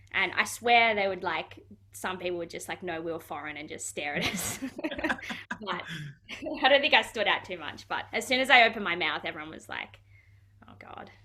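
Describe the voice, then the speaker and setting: Over noticeable background noise, a woman with an Australian accent talks at a fairly quick pace and medium pitch, her intonation lively, her loudness swinging widely, and her speech broken by long, frequent pauses. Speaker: footballer. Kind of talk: interview. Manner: casual, hesitant with fillers.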